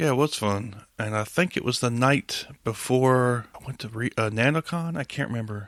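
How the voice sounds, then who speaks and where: Speaking in a Southern accent, a man talks with hardly any pauses and big swings in loudness. His pitch variation is ordinary, and the sound is dry and close with no echo. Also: medium pitch for a man, moderate pace. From US South. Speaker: podcast host. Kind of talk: casual interview chat.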